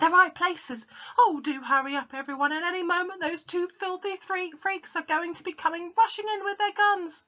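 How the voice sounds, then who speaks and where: Someone shouts in a put-on character voice. It is squeaky and extremely high in pitch. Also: moderate pace. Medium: read story. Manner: excited, bossy, shouting.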